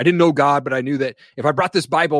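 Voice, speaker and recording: The speech comes at a very fast pace with an American accent. The sound is dry and close, with no echo. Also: man. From US Pacific Northwest, eastern Washington. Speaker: podcaster and apparel business owner. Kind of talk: interview testimony.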